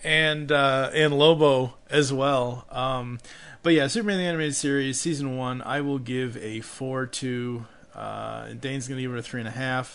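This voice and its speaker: A man with an ordinary speaking voice, medium pitch, moderate pace and fairly even intonation. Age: 30s. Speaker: podcast host. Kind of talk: casual chat.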